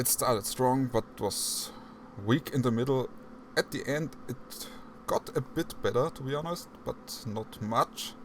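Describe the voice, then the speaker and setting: A man speaks fairly slowly. Noticeable background noise can be heard. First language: not English. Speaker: podcast host. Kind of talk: casual chat.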